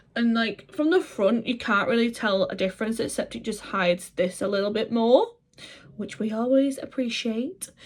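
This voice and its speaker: This woman has a northwest English accent and a fairly high voice with ordinary pitch variation. She talks at a moderate pace over noticeable background noise. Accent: north-west English. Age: 30s. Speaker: vlogger. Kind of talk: vlog talk to camera. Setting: handheld camera.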